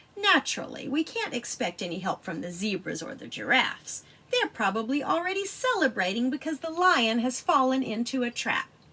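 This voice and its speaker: Using a put-on character voice, this female-sounding speaker goes high in pitch for a woman, swinging very widely in pitch at a fairly quick pace. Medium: read story. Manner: smug, unimpressed.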